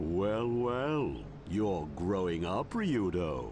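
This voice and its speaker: Using a put-on character voice, a man talks at a very slow pace in a very deep, low pitch over clear background noise. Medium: video game. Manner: dry, wry.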